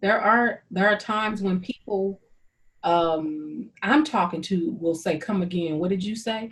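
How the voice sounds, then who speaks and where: Lively intonation runs through this somewhat breathy voice. The speaker has a St. Louis accent. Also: woman. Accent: Saint Louis. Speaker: YouTube host interviewing a friend. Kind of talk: casual conversation. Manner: sing-song.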